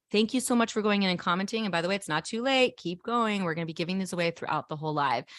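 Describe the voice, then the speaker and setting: With lively intonation, a woman talks in an animated tone. The sound is dry and close with no echo, in a very clean recording against a silent background. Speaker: photographer and livestream presenter. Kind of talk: live stream announcements. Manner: fast.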